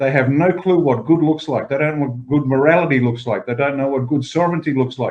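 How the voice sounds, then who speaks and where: Words come out at a very fast pace with fairly even intonation. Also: man, fairly high pitch for a man. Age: 60s. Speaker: political party leader. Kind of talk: interview discussion.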